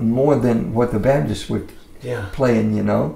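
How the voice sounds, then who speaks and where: A man with lively intonation, with audible room echo. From Mississippi. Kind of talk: interview answer. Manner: casual. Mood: relaxed, warm storytelling. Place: studio.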